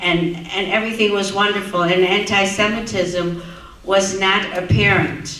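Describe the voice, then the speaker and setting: Speech at a moderate pace over noticeable background noise. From Netherlands, Amsterdam. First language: Dutch. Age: 80s+. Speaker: Holocaust survivor speaker. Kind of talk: testimony.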